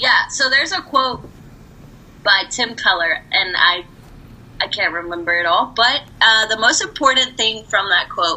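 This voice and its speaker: A woman with a fairly high pitch speaks fairly slowly, her pitch swinging very widely. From Puerto Rico. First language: Spanish. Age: 20s. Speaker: podcast guest. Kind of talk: casual chat. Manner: animated, laughs often.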